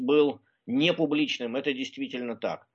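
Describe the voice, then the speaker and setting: With an unremarkable speaking voice, a man talks at a moderate pace in a fairly high pitch. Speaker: researcher. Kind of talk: radio interview.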